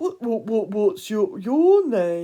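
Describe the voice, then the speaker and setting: In a put-on character voice, the pitch swings very widely. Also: woman. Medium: read story. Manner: nervous, stammering.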